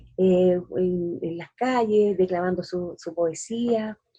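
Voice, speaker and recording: Somewhat breathy and dark, mellow in tone, a woman speaks very slowly with ordinary pitch variation. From Chile. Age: 60s. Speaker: poet. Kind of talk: interview.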